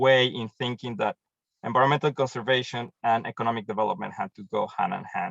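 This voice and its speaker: This is a man speaking with a Mexican accent. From Mexico. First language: Spanish. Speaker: programs manager at a tree-planting charity, agronomist. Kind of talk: webinar presentation.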